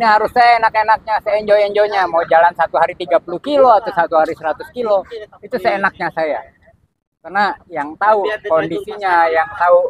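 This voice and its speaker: A man with a high voice speaks at a moderate pace, using ordinary pitch variation. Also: dry, close sound with no echo. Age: 60s. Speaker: long-distance cyclist. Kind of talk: interview.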